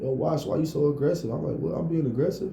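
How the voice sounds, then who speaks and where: A man with a dark, mellow tone and vocal fry speaks at medium pitch. He goes at a fairly quick pace amid audible room echo. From Detroit. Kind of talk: casual chat.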